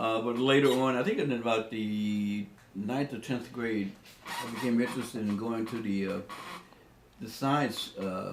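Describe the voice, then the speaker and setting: The voice comes at a fairly slow pace. Noticeable background noise and audible room echo fill the recording. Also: man. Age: 80s+. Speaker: elderly interviewee recounting school segregation. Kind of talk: oral history interview. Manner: halting, many fillers and restarts.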